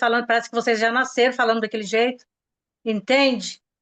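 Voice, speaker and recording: A woman's fairly high voice comes through against a quiet background. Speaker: sales consultant. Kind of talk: casual chat. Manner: fast; animated.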